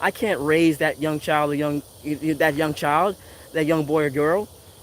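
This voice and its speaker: Speaking with an American accent, a man moves along at a fairly quick pace. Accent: Virgin Islands accent, usually toned down. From US Virgin Islands (Saint Thomas). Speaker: tarot reader and spiritual commentator. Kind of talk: casual motivational monologue. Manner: rambling conversational, many fillers.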